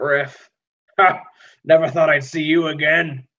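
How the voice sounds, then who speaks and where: A man puts on a gruff character voice pitched fairly high. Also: fairly slow pace. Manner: surprised, gruffly friendly.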